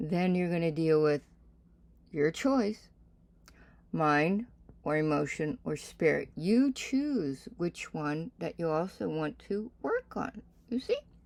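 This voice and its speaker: With long, frequent pauses, a woman speaks very slowly at a fairly low pitch, her voice swinging very widely in pitch. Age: 60s. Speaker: reverend and spiritual teacher. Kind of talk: casual sermon talk.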